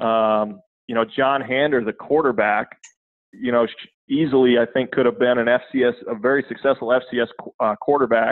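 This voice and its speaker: This man has an American accent and a medium pitch. He talks at a moderate pace with monotone, flat intonation. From Minnesota, US (southwestern, Redwood Falls). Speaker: football coach. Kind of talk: casual interview chat.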